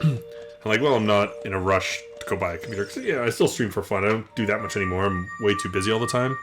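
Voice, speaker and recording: Very fast mumbling from a man with a Canadian accent, fairly low in pitch and fairly even in intonation, over music in the background. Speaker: video game streamer. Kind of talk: casual gameplay commentary.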